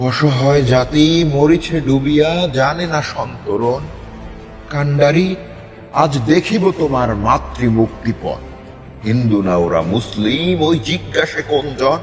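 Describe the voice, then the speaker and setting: A man's fairly high-pitched voice over background music. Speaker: poetry reciter. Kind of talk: poetry reading. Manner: forceful, declamatory.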